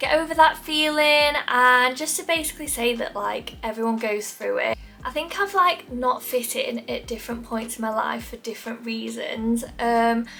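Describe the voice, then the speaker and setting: A woman speaks at a high pitch with ordinary pitch variation. Her pace is moderate, with music in the background. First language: not English. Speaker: lifestyle YouTuber. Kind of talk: casual chat to camera. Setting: sitting in front of camera at home.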